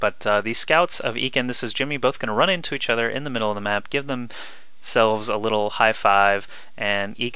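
An animated man's voice, fairly low in pitch. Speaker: esports commentator. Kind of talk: esports game commentary, play-by-play casting of a StarCraft 2 match. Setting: home recording, voiceover over game footage. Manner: animated play-by-play, fast, conversational, reacting with 'Oh no!' to swings; casual and informal, filler 'um/uh', friendly chatty tone.

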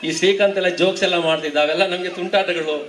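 A man talks with fairly even intonation in a room with audible echo and noticeable background noise. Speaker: school teacher. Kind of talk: speech at honouring ceremony.

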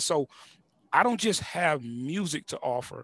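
With an American accent, a man speaks at a fairly high pitch in a dry sound with no echo. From US South, Houston. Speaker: music producer and YouTube creator; YouTube creator. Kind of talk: casual interview. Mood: relaxed, storytelling. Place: studio. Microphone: headset.

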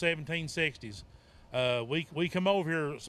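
A man with a high pitch and ordinary pitch variation is heard in a dry sound with no echo. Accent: Appalachian. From Virginia (Appalachia). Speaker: author and Bigfoot researcher. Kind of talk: festival talk. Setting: outdoor festival with audience. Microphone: handheld.

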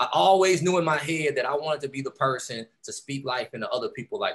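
An American-accented man speaks at a very fast pace. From Texas, Houston. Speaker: entrepreneur, keynote speaker. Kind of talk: motivational keynote speech. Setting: video call. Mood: warm, encouraging. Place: home room. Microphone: video call.

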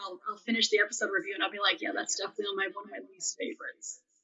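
With very wide pitch swings, a woman talks at a very fast pace. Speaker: podcast host and plant scientist guest. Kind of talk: casual interview chat. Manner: hesitant, many ums.

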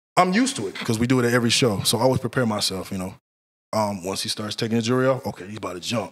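With an American accent, a man talks very fast, his pitch varying in an ordinary way. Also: medium pitch for a man. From Central Florida. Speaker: bodyguard. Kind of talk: casual interview.

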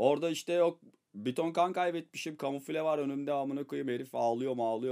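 Against a quiet background, a man speaks in an animated tone at a fairly quick pace with ordinary pitch variation. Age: 30s. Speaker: streamer and rapper; streamer. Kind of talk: casual storytelling to stream viewers.

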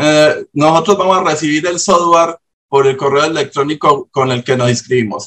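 The speaker has a Colombian accent. The pace is moderate. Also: man, fairly high pitch for a man, ordinary pitch variation. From Urabá, Colombia. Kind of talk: question in online meeting. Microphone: video call.

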